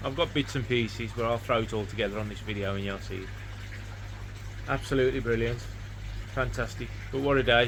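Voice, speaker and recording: A man talks at a very fast pace with long, frequent pauses, and audible room echo surrounds his voice. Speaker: koi keeper vlogger. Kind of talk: casual vlog talk. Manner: rambling, chatty.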